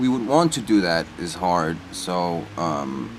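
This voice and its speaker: With a Danish accent and lively intonation, a man speaks amid noticeable background noise and audible room echo. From Denmark. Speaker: travel vlogger. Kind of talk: casual chat. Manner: hesitant, many fillers.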